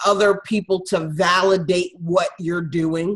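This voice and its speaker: With fairly even intonation and a fairly slow pace, a woman talks in an ordinary speaking voice. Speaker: podcast host. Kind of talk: interview.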